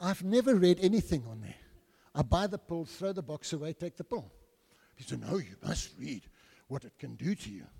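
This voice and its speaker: With a South African accent, a man speaks at a moderate pace with long, frequent pauses and big swings in loudness. His high-pitched voice has a dark, mellow tone and very wide pitch swings, with a dry, close sound and no echo. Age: 70s. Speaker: visiting preacher and church elder. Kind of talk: sermon. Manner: humorous, joking with the congregation.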